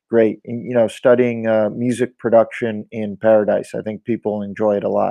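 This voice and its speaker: A man with an American accent at a moderate pace. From California, US. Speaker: record label co-founder. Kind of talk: interview.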